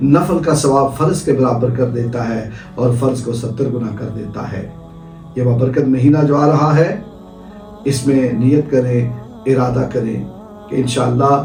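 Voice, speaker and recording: Music plays in the background behind a man. He speaks at a medium pitch with ordinary pitch variation. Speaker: Islamic scholar giving a sermon. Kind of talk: religious sermon.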